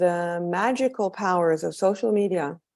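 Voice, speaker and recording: A woman's dark, mellow tone with a slight American accent, moderate pace, very clean recording with a silent background. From Israel. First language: Hebrew. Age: 30s. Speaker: documentary filmmaker. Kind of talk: interview after film screening. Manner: halting.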